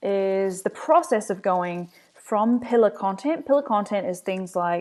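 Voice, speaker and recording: In a quiet background, a woman with a New Zealand accent speaks. Her pace is very slow and her pitch is medium. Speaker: agency owner, marketing presenter. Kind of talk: webinar presentation. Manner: casual, frequent fillers.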